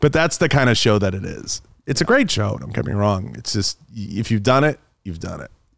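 Talking at a fairly quick pace, a man with a fairly low pitch and vocal fry lets his pitch swing very widely. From Boston, Massachusetts. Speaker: podcast host and outdoor media personality. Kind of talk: casual chat.

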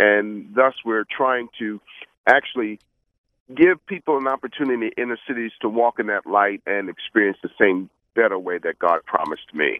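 Lively intonation marks this man's speech in a New York accent. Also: medium pitch for a man, moderate pace. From Brooklyn, New York. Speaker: preacher and business coach. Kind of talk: radio interview.

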